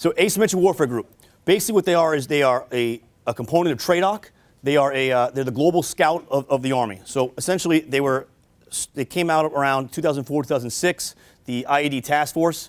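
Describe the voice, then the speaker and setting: Delivery is very fast, with ordinary pitch variation. The recording is very clean, with a silent background. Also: man, fairly high pitch for a man. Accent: New York. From New York City. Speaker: army officer and police detective. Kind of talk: military briefing talk. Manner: halting, many fillers.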